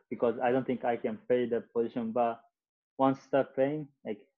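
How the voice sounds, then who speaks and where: A man with a Japanese accent, medium pitch, and fairly even intonation. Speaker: soccer player. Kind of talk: interview. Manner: halting.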